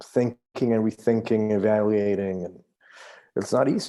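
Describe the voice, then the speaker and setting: A man with a Spanish accent and a fairly low pitch has a dark, mellow tone on a very clean recording with a silent background. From Mexico. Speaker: artist, podcast guest. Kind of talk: casual chat.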